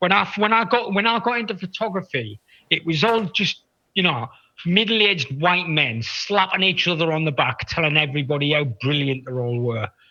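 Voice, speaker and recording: Speaking at a fairly quick pace with a northern English accent, a man has a high, bright, sharp voice. His pitch swings very widely. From northeast England. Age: 60s. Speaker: photographer. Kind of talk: casual chat. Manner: halting, repetitive.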